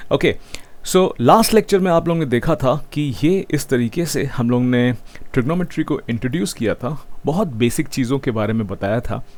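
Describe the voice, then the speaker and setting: This man talks in a fairly high pitch with lively intonation. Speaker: math teacher. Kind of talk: online lecture. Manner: mixes Hindi and English.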